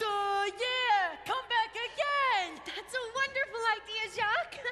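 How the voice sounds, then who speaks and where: With music in the background, a put-on character voice speaks at a fairly slow pace. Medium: stage play. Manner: slow, simple, goofy.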